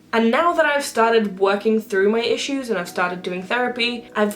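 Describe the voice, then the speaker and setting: With a British accent, a woman speaks at a fairly high pitch with ordinary pitch variation over noticeable background noise. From UK. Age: 20s. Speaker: video blogger. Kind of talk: casual monologue.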